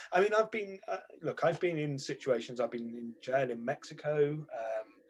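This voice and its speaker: With a British accent, a man talks at a moderate pace in a fairly high pitch with lively intonation. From Britain. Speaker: journalist, newspaper editor. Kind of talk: interview conversation.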